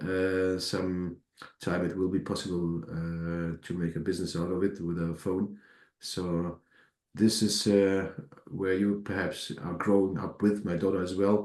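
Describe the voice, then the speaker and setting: The delivery is fairly slow and monotone, with flat intonation. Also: man, very deep, low pitch for a man. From Germany. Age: 40s. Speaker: coaching participant. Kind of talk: self-introduction on group call. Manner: halting, many hesitations.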